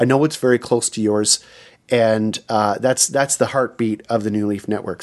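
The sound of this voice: A normal speaking voice at a moderate pace, with fairly even intonation over a quiet background. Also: man.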